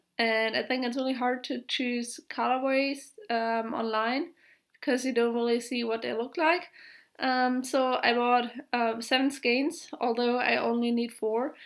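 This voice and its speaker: A woman's high voice in a German accent, fairly slow, with monotone, flat intonation. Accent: German accent, described as harsh. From Germany. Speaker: knitting podcaster. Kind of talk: casual vlog monologue. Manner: halting, many filler words.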